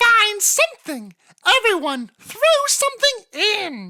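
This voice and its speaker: In a put-on character voice, the squeaky speaker moves at a fairly slow pace with very wide pitch swings. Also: female-sounding voice, extremely high pitch for a woman. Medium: read story.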